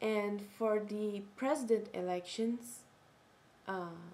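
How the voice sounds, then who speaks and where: In a Portuguese accent, a woman speaks at a very slow pace with a medium pitch. Her tone is dark and mellow, with ordinary pitch variation. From Brazil. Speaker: video blogger. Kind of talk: casual vlog monologue. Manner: halting, self-correcting.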